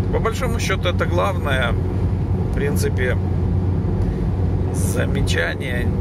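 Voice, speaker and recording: A man's voice comes through dry with no echo, while loud background noise fills the space around it. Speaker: driver reviewing his work car. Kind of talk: commentary. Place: car. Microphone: phone near.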